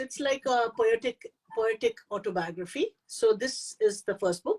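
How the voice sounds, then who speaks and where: A woman's fairly high voice in an Indian accent, moderate in pace with ordinary pitch variation, dry and close with no echo. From India, Pune. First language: Hindi. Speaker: poet and author. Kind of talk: interview. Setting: online live stream. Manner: halting.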